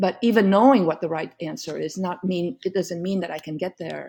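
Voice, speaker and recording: A woman with a Vietnamese accent and a dark, mellow tone speaks at a moderate pace in a very clean recording with a silent background. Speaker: law professor and author. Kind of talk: podcast interview.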